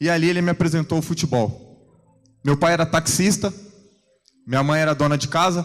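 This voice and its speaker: A man speaks in a fairly high pitch at a moderate pace, with fairly even intonation. His loudness stays very even, and he takes long, frequent pauses. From São Vicente, São Paulo coast, Brazil. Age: 30s. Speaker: football goalkeeper giving testimony. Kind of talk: church testimony. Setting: church service with congregation.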